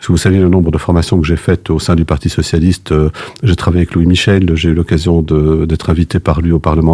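Very deep and low, a man's voice has a dark, mellow tone in a very clean recording with a silent background and a dry, close sound with no echo. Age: 60s. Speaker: retired judge, political candidate. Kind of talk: radio interview. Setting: studio. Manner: halting.

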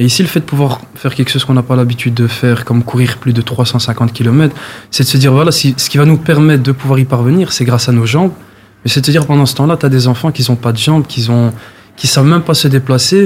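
Somewhat breathy, a man's voice rushes along at a very fast pace. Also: medium pitch for a man, fairly even intonation, very even loudness. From Brussels, Molenbeek. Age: 20s. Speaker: amateur athlete, charity runner. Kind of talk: interview. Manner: hesitant, filler words.

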